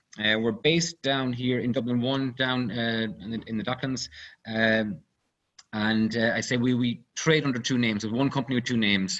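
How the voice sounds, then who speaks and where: A man with an Irish accent talks at medium pitch with ordinary pitch variation. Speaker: company CEO, engineer. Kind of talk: webinar presentation. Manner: fast; halting, many fillers.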